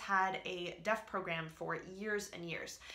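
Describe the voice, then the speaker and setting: In a room with audible echo and noticeable background noise, a woman with an American accent talks at a moderate pace and medium pitch, keeping her intonation fairly even. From US East Coast, Alabama and Northern Virginia. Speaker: vlogger. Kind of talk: casual vlog chat. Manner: rambling with many fillers.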